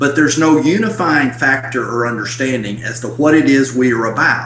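A man talks at a moderate pace and a medium pitch. There is noticeable background noise. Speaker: church stewardship consultant, former pastor. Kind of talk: interview. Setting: video call. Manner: animated.

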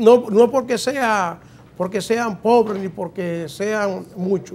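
Speaking at a very slow pace, a man uses a high pitch. His pitch variation is ordinary. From Dominican Republic. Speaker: talk show host. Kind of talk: talk show interview. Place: studio. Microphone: lapel.

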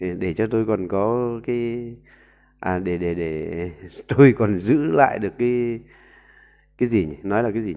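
The voice moves at a very slow pace with long, frequent pauses, its tone dark and mellow and its pitch variation ordinary. Loudness swings in big ways against a quiet background. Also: man, fairly low pitch for a man. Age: 40s. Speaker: YouTube commentator. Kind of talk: monologue commentary. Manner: halting with frequent fillers. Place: home room. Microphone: earbuds.

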